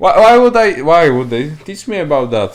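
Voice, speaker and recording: A man with a non-native accent speaks with very wide pitch swings. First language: not English. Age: young. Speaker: podcast co-host. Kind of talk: casual chat. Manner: halting.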